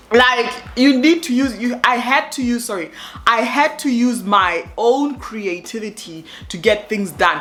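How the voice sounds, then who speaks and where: A woman speaks in an animated tone with ordinary pitch variation. Noticeable background noise sits behind her. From Africa. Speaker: expat vlogger. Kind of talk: casual vlog talk to camera.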